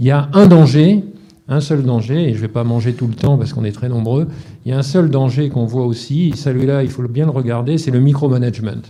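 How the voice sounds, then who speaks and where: Amid noticeable background noise, a man speaks at a fairly quick pace with a medium pitch and ordinary pitch variation. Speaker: panelist at a defence round table. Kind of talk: round-table discussion. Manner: fast.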